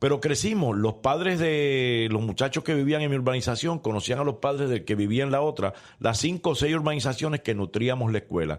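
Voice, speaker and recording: A man with medium pitch speaks in an ordinary speaking voice at a fairly quick pace with hardly any pauses. His intonation is lively and his loudness very even. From Puerto Rico, San Juan. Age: 60s. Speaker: former politician. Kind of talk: interview.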